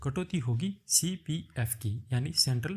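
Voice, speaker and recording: The tone is dark and mellow, somewhat breathy, with very wide swings in pitch. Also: man. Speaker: YouTube job-prep tutor. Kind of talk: tutorial.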